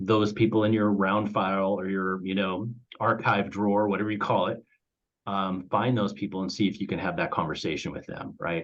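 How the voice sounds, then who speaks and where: This man talks at a fairly quick pace with a fairly low pitch. His intonation is fairly even. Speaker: reverse mortgage company president. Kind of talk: webinar presentation. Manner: fast.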